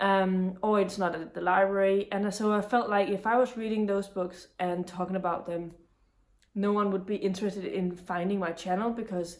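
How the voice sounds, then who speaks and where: The speaker has a Danish accent and talks at a moderate pace with fairly even intonation. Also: woman. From Denmark. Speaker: booktuber. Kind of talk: casual talk to camera.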